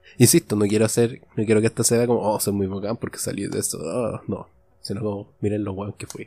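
A man's fairly low voice in a Chilean accent, fairly quick and fairly even in intonation, with music in the background. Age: 20s. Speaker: podcaster. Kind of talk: solo monologue podcast. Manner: casual, improvised with frequent repetitions.

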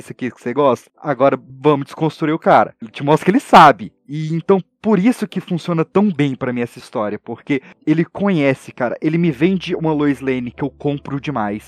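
A man with a plain, everyday voice and a fairly high pitch talks at a fairly quick pace with lively intonation. The sound is dry and close, with no echo. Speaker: podcaster guest. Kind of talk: casual chat.

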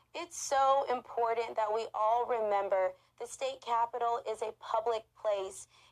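The woman has a normal speaking voice with a fairly high pitch. She talks at a fairly slow pace with fairly even intonation. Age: 20s. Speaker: state legislator. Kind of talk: interview.

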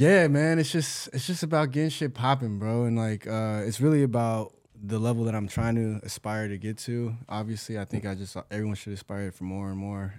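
A man with an American accent and an unremarkable speaking voice, fairly low in pitch, fairly quick in pace, with ordinary pitch variation. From Orange County, California. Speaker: musician, producer and audio engineer. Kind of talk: casual chat.

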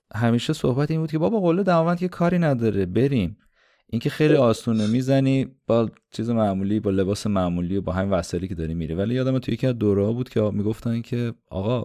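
A man rattles off his words very fast, his medium-pitched voice carrying lively intonation. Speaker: podcast host. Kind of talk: interview.

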